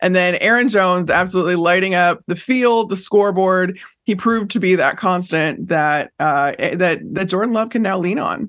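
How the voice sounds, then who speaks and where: A woman with a normal speaking voice, medium pitch, ordinary pitch variation, a moderate pace and hardly any pauses. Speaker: NFL reporter. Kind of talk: sports analysis interview.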